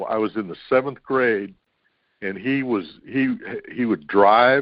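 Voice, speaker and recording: With ordinary pitch variation and a fairly slow pace, this is an unremarkable speaking voice. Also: man. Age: 60s. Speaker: co-host. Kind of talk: casual chat.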